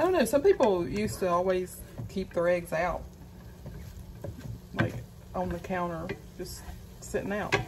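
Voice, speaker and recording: A woman speaks at a moderate pace while noticeable background noise carries on. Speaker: home cooking vlogger. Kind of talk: casual vlog chat. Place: kitchen. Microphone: phone near.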